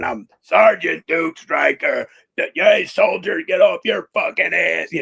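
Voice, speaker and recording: Using a raspy, put-on character voice, a man speaks at a fairly slow pace. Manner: barking, commanding.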